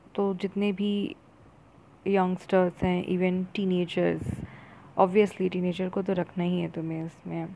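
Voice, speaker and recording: A woman's dark, mellow, medium-pitched voice with monotone, flat intonation and long, frequent pauses. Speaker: friend giving feedback. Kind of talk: voice note. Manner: halting.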